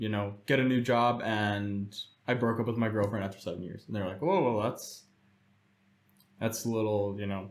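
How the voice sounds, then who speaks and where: Speaking at a moderate pace with an American accent, a man with a fairly low pitch leaves long, frequent pauses while audible room echo surrounds his voice. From United States, Czech-Polish family. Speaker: guest. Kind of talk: casual chat.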